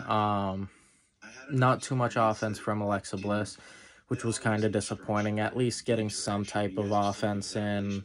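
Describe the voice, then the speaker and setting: Fairly even intonation from a man, at a fairly slow pace. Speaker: wrestling reviewer. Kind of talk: casual talk to camera. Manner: hesitant, uses many fillers.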